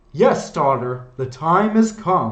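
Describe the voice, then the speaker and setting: This is a put-on character voice. Its pitch sits low to middle. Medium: read story. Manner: calm, knowing.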